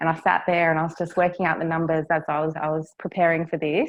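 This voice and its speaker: The voice carries an Australian accent. Its intonation is fairly even. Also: woman. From Australia, Cairns, Far North Queensland. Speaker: property business development manager. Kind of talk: interview.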